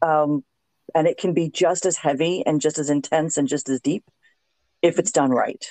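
A woman with an American accent has a very deep, low pitch, ordinary pitch variation and very even loudness, pausing long and often. The sound is dry and close with no echo, against a quiet background. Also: moderate pace. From South Florida. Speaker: podcast host. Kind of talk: casual chat. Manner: animated.

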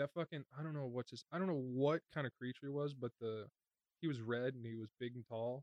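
Using an ordinary speaking voice, a man talks at a fairly quick pace and a medium pitch with fairly even intonation. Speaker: podcast co-host, IT worker. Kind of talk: casual chat.

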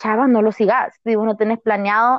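A woman's fairly high voice comes through at a medium tempo. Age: 20s. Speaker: university student. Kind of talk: casual chat.

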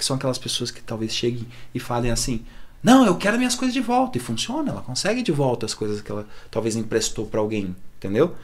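With lively intonation, a man talks very fast. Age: 30s. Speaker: psychologist. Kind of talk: casual chat.

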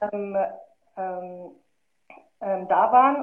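With ordinary pitch variation, a woman speaks in a medium pitch. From Germany, Marl (North Rhine-Westphalia). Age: 20s. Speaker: filmmaker and curator. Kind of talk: casual interview.

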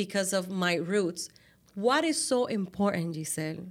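A woman speaks with a Latin American accent at a medium pitch. She goes at a fairly slow pace, and the recording is very clean with a silent background. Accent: noticeable Latin American. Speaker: podcast host. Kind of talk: casual interview chat.

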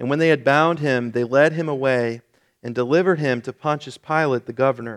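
A man talks at a fairly quick pace in a medium pitch, with fairly even intonation and a plain, everyday voice. The recording is very clean, with a silent background. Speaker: pastor. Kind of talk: sermon; scripture reading, solemn KJV passage read aloud in a church service. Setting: church. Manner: formal, somber.

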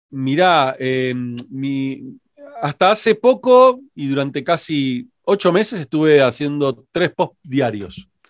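With an Argentine accent, a man speaks very slowly at a fairly high pitch, his intonation lively. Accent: Rioplatense Argentine Spanish. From Argentina (Rosario, raised in Buenos Aires). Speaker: digital marketing consultant and entrepreneur. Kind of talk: interview.

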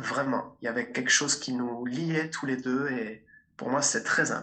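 A man is speaking. His pace is very slow. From Belgium, Liège. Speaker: speaker and coach. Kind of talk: interview.

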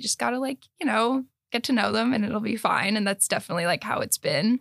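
Using a plain, everyday voice, a woman speaks at a fairly quick pace with ordinary pitch variation, the sound dry and close with no echo. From US, most recently California. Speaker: graduate student and student association member. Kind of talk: casual interview.

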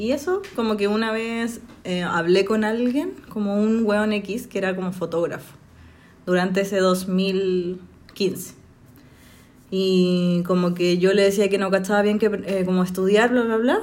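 A woman with a Chilean accent speaks at a fairly slow pace in a medium pitch. Her intonation is fairly even, and audible room echo can be heard. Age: 20s. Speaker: journalism graduate, podcast guest. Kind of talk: casual chat.

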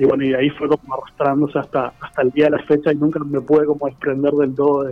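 Music plays behind a man who speaks very fast at a fairly high pitch, his intonation monotone and flat. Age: 30s. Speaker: visual artist. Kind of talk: radio interview. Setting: phone call.

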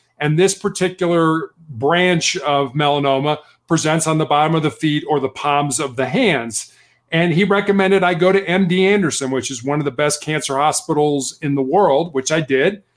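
An ordinary speaking voice with an American accent. It moves at a moderate pace with ordinary pitch variation. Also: man, fairly high pitch for a man. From Chicago, Illinois. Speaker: author. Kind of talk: interview.

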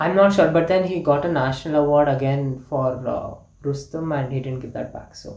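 The speaker has a Kannada accent and keeps a moderate pace. Background noise is noticeable. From India, Karnataka. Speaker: podcast guest. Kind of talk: casual chat.

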